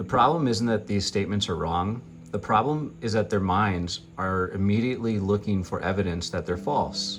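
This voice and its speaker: Music behind a man's fairly low voice, ordinary pitch variation, a moderate pace and hardly any pauses. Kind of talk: guided affirmation reading, self-empowerment narration.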